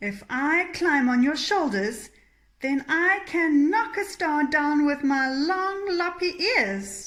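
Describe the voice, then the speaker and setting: A woman puts on a character voice, pitched high and delivered at a fairly slow pace. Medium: read story.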